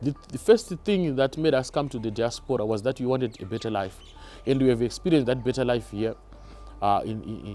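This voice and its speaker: A man with a Zimbabwean accent talks at a fairly quick pace in a medium pitch, with music in the background. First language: Shona. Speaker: YouTuber. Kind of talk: casual vlog talk to camera. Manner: halting, with repetitions.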